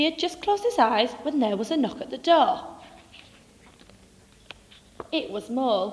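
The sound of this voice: A high-pitched woman's voice at a fairly quick pace, with big pitch swings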